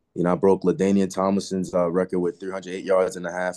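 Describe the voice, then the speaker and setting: A man with a very deep, low pitch and a dark, mellow tone speaks in an American accent. The sound is dry and close with no echo, against a quiet background. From Long Island, New York. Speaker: college football player. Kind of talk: interview. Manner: casual, relaxed.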